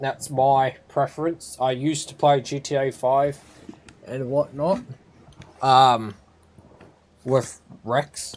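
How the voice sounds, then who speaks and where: Speaking very slowly in an Australian accent, a man holds a medium pitch and fairly even intonation, with long, frequent pauses. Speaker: gaming streamer. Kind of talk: live gameplay commentary. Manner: casual, rambling with fillers.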